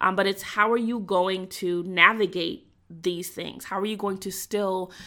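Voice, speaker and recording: Recorded very cleanly against a silent background, a woman with a plain, everyday voice speaks at a moderate pace, her medium pitch showing ordinary variation. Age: 30s. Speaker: career coach and podcast host. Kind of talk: solo podcast monologue. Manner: conversational, frequent fillers.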